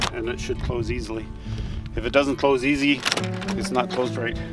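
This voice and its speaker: Loud music plays in the background as a man talks, the sound dry with no echo. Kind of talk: safety briefing. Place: open country. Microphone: phone near.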